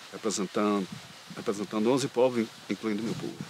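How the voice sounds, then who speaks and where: With fairly even intonation, this man talks in a fairly low register. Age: 60s. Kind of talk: interview.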